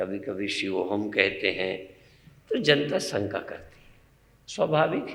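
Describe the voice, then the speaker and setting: Fairly low in pitch, a man speaks with a bright, sharp tone. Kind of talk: religious discourse.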